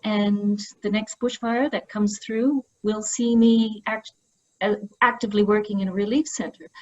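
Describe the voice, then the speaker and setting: Somewhat breathy and fairly high-pitched, a woman speaks at a fairly slow pace with fairly even intonation. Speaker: historian. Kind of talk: panel discussion.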